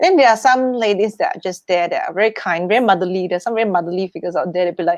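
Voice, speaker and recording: A woman talks very fast in a Chinese accent. She leaves hardly any pauses. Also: medium pitch for a woman, ordinary pitch variation. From Singapore. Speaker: wealth manager and performer. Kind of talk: interview conversation. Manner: halting, many fillers; loud, boisterous.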